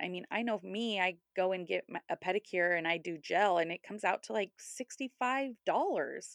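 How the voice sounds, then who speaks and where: A woman speaks in an ordinary speaking voice with an American accent. She talks at a fairly slow pace over a quiet background. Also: dry, close sound with no echo. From California, Sacramento. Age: 30s. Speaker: podcast co-host. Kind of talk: casual chat.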